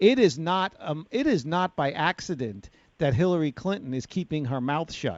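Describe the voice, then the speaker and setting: With a New York accent, a man speaks in a high pitch with lively intonation. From New York City, Bronx. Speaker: talk radio host. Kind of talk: radio talk show discussion. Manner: gruff, unpolished.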